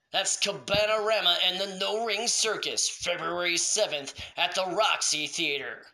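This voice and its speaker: The delivery has a dramatic tone with hardly any pauses. Noticeable background noise sits behind it. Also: moderate pace. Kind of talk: comic infomercial-style promo ad. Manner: mock-dramatic, salesman-like, tongue-in-cheek.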